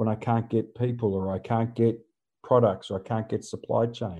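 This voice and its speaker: With an Australian accent, a man talks fairly quickly at medium pitch in a dark, mellow tone. His intonation is flat and monotone, and the background is quiet. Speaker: disaster resilience consultant. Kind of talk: interview. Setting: remote call.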